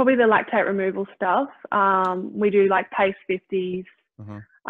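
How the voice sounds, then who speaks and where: A woman's voice over a quiet background. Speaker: guest. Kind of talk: interview answer. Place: kitchen. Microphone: video call.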